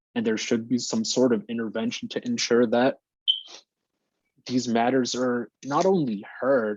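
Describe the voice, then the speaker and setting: This man has an American accent and a medium pitch. He speaks fairly slowly with ordinary pitch variation. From New Jersey, Jersey City. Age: 20s. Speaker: graduate student and local political candidate. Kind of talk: podcast interview.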